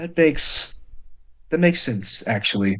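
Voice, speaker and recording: Here a man uses a put-on character voice. His pitch sits fairly high. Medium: actual play. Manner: calm, weary.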